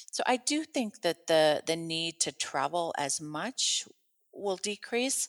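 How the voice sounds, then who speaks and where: Speaking at a very slow pace, a woman with an American accent uses a fairly low pitch and lively intonation in a dry, close sound with no echo. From Minnesota, US. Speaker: lawyer. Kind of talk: interview conversation.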